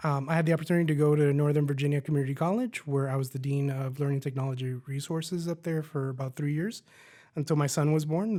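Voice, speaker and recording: This man's speech comes very fast. His fairly high pitch holds to fairly even intonation. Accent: American. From US South, Miami, Florida. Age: 40s. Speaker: college president. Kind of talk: interview.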